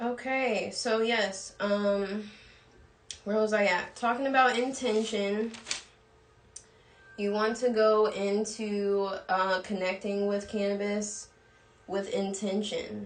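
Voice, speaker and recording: A woman speaks at a medium pitch in a monotone, flat delivery, leaving long, frequent pauses. Audible room echo and noticeable background noise are present in the recording. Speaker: cannabis coach and live show host. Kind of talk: livestream lecture. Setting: live stream. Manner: fast, talking without pausing for breath.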